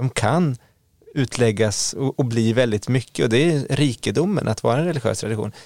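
This is a man with an unremarkable speaking voice, medium in pitch, with ordinary pitch variation and a moderate pace. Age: 40s. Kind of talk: casual chat.

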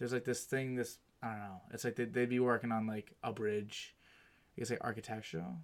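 On a very clean recording with a silent background, a man speaks in a normal speaking voice at medium pitch, with fairly even intonation and a fairly quick pace. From Massachusetts (Medford). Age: 20s. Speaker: podcast host. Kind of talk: casual chat.

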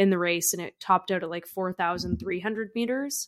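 At a moderate pace, a woman speaks in a plain, everyday voice, captured in a very clean recording with a silent background and a dry, close sound free of echo. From Canada. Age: 20s. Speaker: podcast co-host, ultra-distance cyclist. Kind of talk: casual chat.

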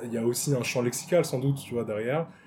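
A man's somewhat breathy voice with a dark, mellow tone comes through in a very clean recording with a silent background. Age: 30s. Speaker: improv actor. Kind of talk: casual chat. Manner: halting.

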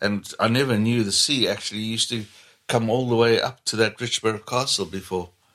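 A man speaks with a Zambian accent. His pace is fairly quick and his intonation fairly even. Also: medium pitch for a man. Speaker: mechanic with own garage. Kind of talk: casual interview chat. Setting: at home.

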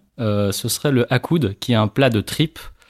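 In a normal speaking voice, a man talks at a moderate pace, the sound dry and close with no echo. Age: 30s. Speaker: lawyer. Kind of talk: casual interview conversation.

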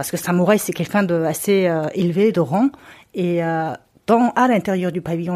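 On a very clean recording with a silent background, a woman speaks at medium pitch and a moderate pace. Her tone is dark and mellow, with ordinary pitch variation. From Mongolia. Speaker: travel photographer and author. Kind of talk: casual chat. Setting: at home. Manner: halting.

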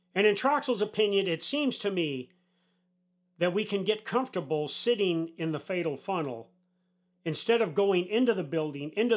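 A man with an American accent speaks at a moderate pace with lively intonation. The recording is very clean, with a silent background. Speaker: retired army senior enlisted leader, podcast host. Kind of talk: opinion monologue.

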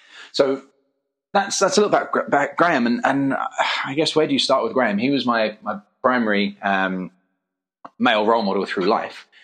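Speaking at a fairly quick pace with an English accent, a man uses a medium pitch with very wide pitch swings and long, frequent pauses. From England. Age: 30s. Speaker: parkour academy founder. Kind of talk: interview. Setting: at guest's academy.

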